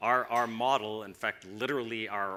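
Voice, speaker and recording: With a Canadian accent, a man speaks in a bright, sharp tone at a fairly low pitch. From Canada. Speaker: tech company executive. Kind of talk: conference presentation.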